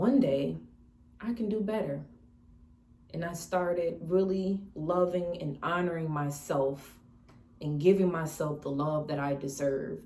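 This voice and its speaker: Relaxed in tone, a woman speaks fairly slowly with long, frequent pauses, her fairly low voice showing ordinary pitch variation amid audible room echo. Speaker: lifestyle vlogger. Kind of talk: casual mukbang vlog talk. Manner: relaxed, conversational with self-corrections.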